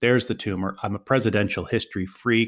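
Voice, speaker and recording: With an American accent, a man speaks fairly quickly in a normal speaking voice, medium in pitch with ordinary pitch variation. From US, Philadelphia. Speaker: author and journalist. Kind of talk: interview.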